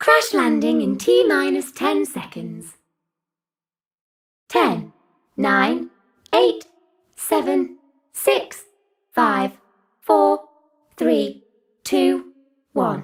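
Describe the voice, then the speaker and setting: Using a put-on character voice, a woman talks at a very slow pace in a very deep, low pitch, with long, frequent pauses. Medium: solo performance. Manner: flat, mechanical.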